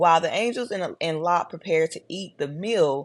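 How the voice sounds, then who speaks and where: The speaker has a Texas accent, recorded against a quiet background. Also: woman. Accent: deep Texas Southern. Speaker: religious commentary vlogger. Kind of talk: casual video commentary. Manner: casual, chatty.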